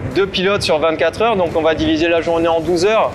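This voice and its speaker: Noticeable background noise surrounds a high-pitched man who speaks with fairly even intonation. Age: 30s. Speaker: maritime pilot. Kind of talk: interview portrait. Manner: hesitant with fillers.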